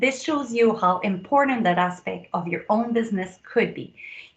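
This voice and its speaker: A woman with a French accent speaks in an enthusiastic tone at a fairly high pitch with lively intonation. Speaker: productivity coach and speaker. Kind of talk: conference promo video address.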